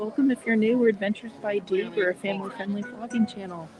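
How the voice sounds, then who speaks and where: The speaker talks quietly while music plays in the background. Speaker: family travel vlogger. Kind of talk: live stream vlog commentary. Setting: outdoors at a nature center. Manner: talking quietly.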